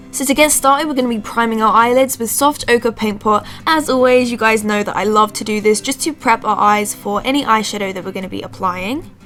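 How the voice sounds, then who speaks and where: A woman's fairly high voice at a fairly quick pace, hardly any pauses, and noticeable background noise. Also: ordinary pitch variation. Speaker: beauty vlogger. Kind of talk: makeup tutorial voice-over.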